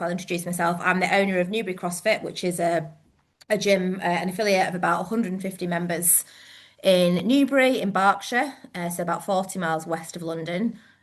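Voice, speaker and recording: With a northern English accent, a woman talks at a fairly quick pace. Her pitch is medium and her intonation fairly even. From northern England. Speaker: gym owner and coach. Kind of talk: webinar presentation. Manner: hesitant, many fillers.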